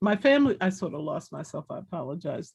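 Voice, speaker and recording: A woman's medium-pitched, somewhat breathy voice with an American accent, lively intonation and a fairly slow pace, against a quiet background. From Washington, D.C. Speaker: former activist. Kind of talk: panel discussion. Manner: halting.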